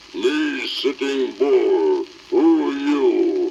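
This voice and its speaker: A man uses a put-on character voice at an extremely high pitch. Background noise is clear. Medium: audio drama. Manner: clipped broken-English speech.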